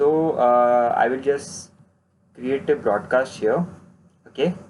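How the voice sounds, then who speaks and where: This man's pitch is fairly high. He talks at a very slow pace. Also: ordinary pitch variation. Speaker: online marketing course instructor. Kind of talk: tutorial. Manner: halting, many fillers.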